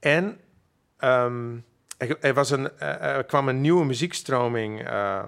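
A man talks at a medium pitch. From Friesland, Makkum. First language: Frisian (speaking Dutch). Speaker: musician. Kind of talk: interview. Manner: halting.

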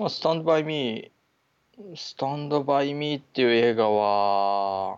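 An unremarkable speaking voice moves at a fairly slow pace with lively intonation. Its loudness swings widely. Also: man, fairly high pitch for a man. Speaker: podcast co-host. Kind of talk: casual chat.

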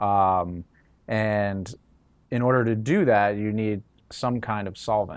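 Speaking with an American accent, a man with a fairly low pitch goes at a very slow pace with long, frequent pauses and ordinary pitch variation. The recording is very clean, with a silent background. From New York. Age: 30s. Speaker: cannabis lab founder and CEO. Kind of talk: interview. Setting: in the lab.

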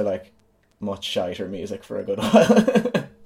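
This man speaks with a western Irish accent. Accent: Irish (west of Ireland). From Ireland, Galway. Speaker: musician and community radio co-founder. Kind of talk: casual interview chat. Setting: video call.

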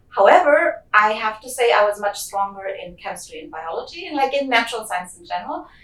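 A woman's fairly high voice at a fairly quick pace, with hardly any pauses, very wide pitch swings and big swings in loudness, over noticeable background noise. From Germany. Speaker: geochemist. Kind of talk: interview.

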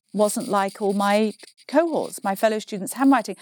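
On a very clean recording with a silent background, an unremarkable speaking voice carries lively intonation. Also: woman. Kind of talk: interview, casual chat.

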